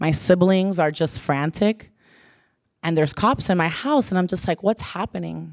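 Very clean recording, silent background, and a woman with an unremarkable speaking voice, fairly low pitch, lively intonation, a moderate pace and an American accent. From South Florida (Pembroke Pines). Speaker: church leader, speaker. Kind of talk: sermon. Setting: church.

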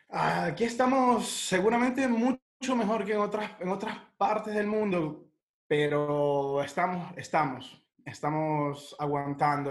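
His pitch leaps up and down dramatically. The man talks somewhat slowly. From Ecuador, then Italy from age 14. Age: 20s. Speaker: chef. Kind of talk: interview, casual chat.

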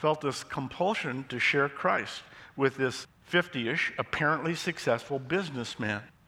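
With ordinary pitch variation, the words come in an unforced reading voice.

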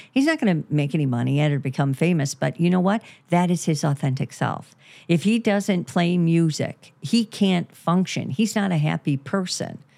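A woman speaks in a plain, everyday voice with lively intonation at a moderate pace, on a very clean recording with a silent background. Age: 60s. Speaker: therapist and podcast host. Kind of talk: casual chat.

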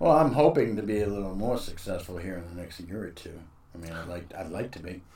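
Somewhat breathy, with an American accent, this voice has a dark, mellow tone, ordinary pitch variation, big swings in loudness and a very fast pace. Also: man, very deep, low pitch for a man. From Boston. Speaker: comedian, former military contractor. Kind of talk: casual chat.

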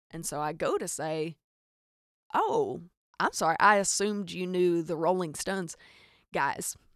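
A woman with a Southern US accent speaks fairly slowly in an animated tone, with long, frequent pauses. The recording is very clean with a silent background. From Arkansas. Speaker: podcast host. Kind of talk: casual comedic storytelling monologue. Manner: animated, joking.

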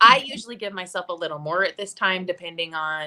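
Bright and sharp in tone, a woman talks at a fairly quick pace with an American accent. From Idaho. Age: 50s. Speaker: fitness and mindset coach, bodybuilding competitor. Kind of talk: casual interview chat. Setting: live video stream.

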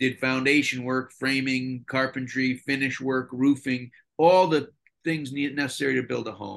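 A man's voice sits at a medium pitch, moving at a moderate speed with ordinary variation in pitch. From Connecticut. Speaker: television production designer. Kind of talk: interview. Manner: halting.

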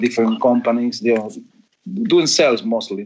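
With an Argentine accent, a man speaks at a medium pitch in a flat, monotone delivery. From Argentina. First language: Spanish. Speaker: fabric company owner. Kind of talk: interview.

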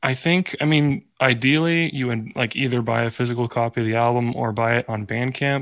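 With hardly any pauses, a man talks at a fairly quick pace in a medium pitch and ordinary pitch variation, using an ordinary speaking voice in a very clean recording with a silent background. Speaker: band member. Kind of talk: casual chat.

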